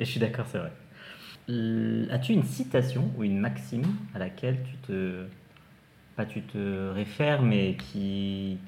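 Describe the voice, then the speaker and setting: Audible room echo surrounds a man who speaks at a very slow pace and a fairly low pitch, with a dark, mellow tone, very wide pitch swings and long, frequent pauses. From France, Essonne. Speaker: podcast host, adult content creator. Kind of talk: casual chat.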